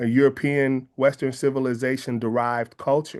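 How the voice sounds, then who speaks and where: A man talks with an American accent at a moderate pace. His pitch sits fairly high, and the background is quiet. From US West Coast, San Francisco Bay Area. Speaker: filmmaker and artist. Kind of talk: interview. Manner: reflective, with many fillers and repetitions.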